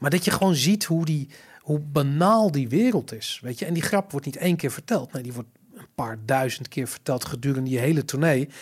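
A man speaks at a fairly quick pace with a fairly high pitch, lively intonation and a somewhat breathy quality, on a very clean recording with a silent background. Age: 40s. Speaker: podcast host. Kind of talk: casual chat. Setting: studio. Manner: stammering, repeats words.

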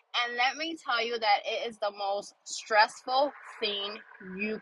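Against noticeable background noise, a woman with a fairly high voice speaks at a fairly slow pace. Her tone is animated, with ordinary pitch variation. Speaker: podcast host. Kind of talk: casual monologue.

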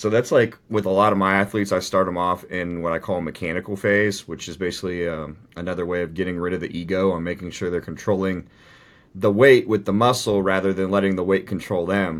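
The words come out very fast, with a fairly even rise and fall. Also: man, very deep, low pitch for a man, very clean recording, silent background. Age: 30s. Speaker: bodybuilding coach and athlete. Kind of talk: casual chat.

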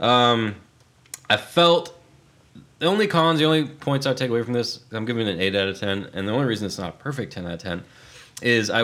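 This man has an ordinary speaking voice at a medium pitch. He talks at a fairly quick pace with lively intonation. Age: 30s. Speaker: podcast co-host. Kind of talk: casual chat.

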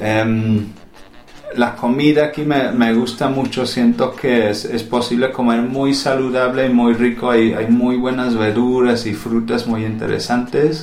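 A man with an English accent, medium pitch and monotone, flat intonation, at a fairly slow pace amid noticeable background noise and audible room echo. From England. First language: English (speaking Spanish). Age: 30s. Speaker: poet and school administrator. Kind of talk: interview. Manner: halting, many fillers and repeats.

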